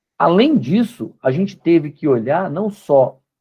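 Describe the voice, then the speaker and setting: Vocal fry runs through the voice. Its pitch swings very widely. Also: man. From Brazil, Belo Horizonte. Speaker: company co-founder and guest lecturer. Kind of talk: lecture.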